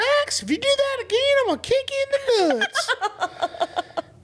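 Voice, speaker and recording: In a put-on character voice, a female-sounding speaker goes at a moderate pace with an extremely high pitch for a woman. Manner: threatening, blunt.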